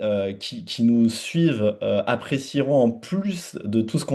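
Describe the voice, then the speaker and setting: This man's voice has a dark, mellow tone. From France. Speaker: gastroenterologist. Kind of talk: webinar conversation. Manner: halting, many fillers.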